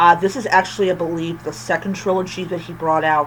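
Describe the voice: Fairly even intonation pairs with a fairly bright tone.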